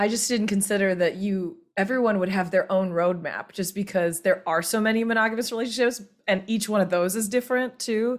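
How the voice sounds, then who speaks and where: With an American accent and an unremarkable speaking voice, a woman of medium pitch talks at a fairly quick pace with ordinary pitch variation and hardly any pauses. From US South. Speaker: podcast guest. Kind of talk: casual chat.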